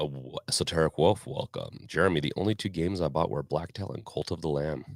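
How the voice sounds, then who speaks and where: The speech comes at a very fast pace with vocal fry. Pitch moves in an ordinary way. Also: man, very deep, low pitch for a man. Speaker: podcast host and live streamer. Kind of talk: live stream chat. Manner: casual, with fillers and self-corrections.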